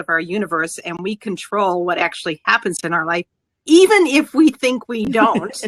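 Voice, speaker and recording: This woman's medium-pitched voice has a bright, sharp tone and a dry, close sound with no echo. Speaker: mindset coach. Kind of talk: interview. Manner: fast.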